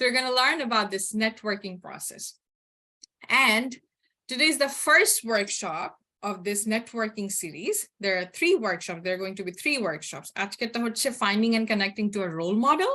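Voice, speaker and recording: A woman with a fairly high pitch, a bright, sharp tone, lively intonation and a moderate pace. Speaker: workshop facilitator. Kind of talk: online workshop presentation. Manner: code-switching Bengali and English.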